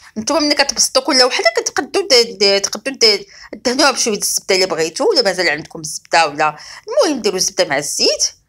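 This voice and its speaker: A woman speaks with a Moroccan accent, in a fairly high pitch with very wide pitch swings. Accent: Moroccan Darija. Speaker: cooking channel host. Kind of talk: cooking tutorial.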